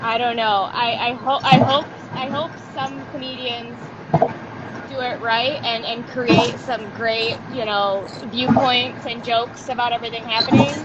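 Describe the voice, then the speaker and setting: A woman with a fairly high voice speaks at a fairly slow pace and with ordinary pitch variation, with noticeable background noise and audible room echo. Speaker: comedy interview host. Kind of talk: casual chat. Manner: animated.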